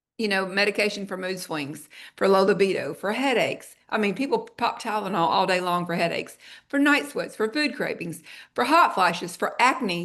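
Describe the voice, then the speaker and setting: Talking at a fairly quick pace, a woman has a plain, everyday voice with medium pitch. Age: 60s. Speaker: wellness product presenter. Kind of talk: sales pitch. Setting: video call. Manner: conversational.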